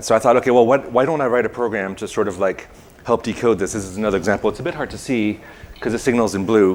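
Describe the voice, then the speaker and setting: Over noticeable background noise, a man talks very fast at a medium pitch. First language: not English. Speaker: conference speaker, software developer. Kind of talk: technical presentation. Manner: halting, many fillers.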